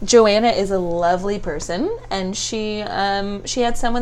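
There is audible room echo as a woman speaks at a medium pitch. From Ontario, Canada (Stratford). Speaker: makeup and brow artist. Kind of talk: casual chat. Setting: her studio.

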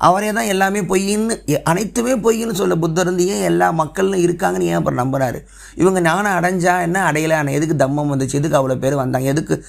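This man's voice sits high in pitch, and his intonation is lively. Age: 30s. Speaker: podcast host. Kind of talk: solo monologue podcast.

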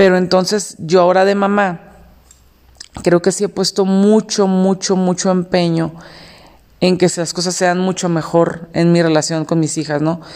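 A woman with a Mexican accent speaks at a fairly slow pace in a medium pitch, her intonation flat and monotone. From Mexico. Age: 30s. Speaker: podcast host. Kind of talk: solo monologue podcast.

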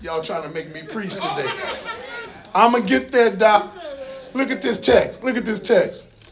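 Over noticeable background noise, a man with a high voice speaks in an animated tone, with very wide pitch swings, big swings in loudness, and long, frequent pauses. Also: moderate pace. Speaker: preacher. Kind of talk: sermon; preacher in full flow, call-and-response with congregation. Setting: church with congregation. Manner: animated, rhythmic, conversational asides with folksy humor; engaging the crowd with repeated calls for response.

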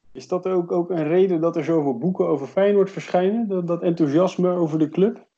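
This man's voice is high-pitched yet dark and mellow in tone, moving at a fairly quick pace with fairly even intonation and hardly any pauses. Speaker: podcast host. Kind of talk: casual interview.

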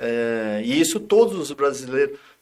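A man talks at a moderate pace. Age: 50s. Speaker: former footballer and coach. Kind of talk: casual interview chat. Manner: calm.

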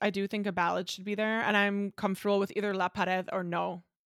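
A woman's animated, bright, sharp voice at medium pitch and a very fast pace, in a very clean recording with a silent background. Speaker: podcast co-host, music fan. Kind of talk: casual chat.

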